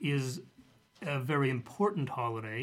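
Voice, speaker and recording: With an American accent, a man uses an ordinary speaking voice at a fairly high pitch and a moderate pace. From US, Denver, Colorado. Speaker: author. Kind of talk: casual chat.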